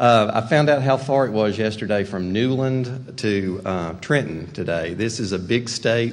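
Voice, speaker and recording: With a Western North Carolina accent, a man talks at a moderate pace with ordinary pitch variation and hardly any pauses. Audible room echo and noticeable background noise fill the recording. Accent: Western North Carolina mountain. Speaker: rural development executive. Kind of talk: keynote speech.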